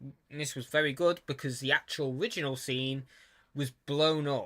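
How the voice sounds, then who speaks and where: Speaking with a British accent, a man uses medium pitch and a moderate pace. His tone is bright and sharp, his intonation fairly even. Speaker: YouTuber. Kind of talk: casual commentary. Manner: halting.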